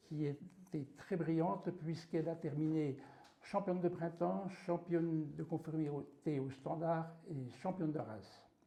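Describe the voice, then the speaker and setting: In a dark, mellow tone, a man speaks at a fairly high pitch with ordinary pitch variation. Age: 60s. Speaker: dog breeder and trainer. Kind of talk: interview monologue.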